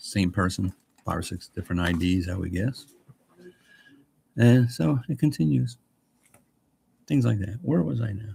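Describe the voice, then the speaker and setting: Somewhat breathy and fairly low-pitched, a man speaks at a moderate pace. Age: 60s. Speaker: retired vlogger. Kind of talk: casual chat. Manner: rambling, halting.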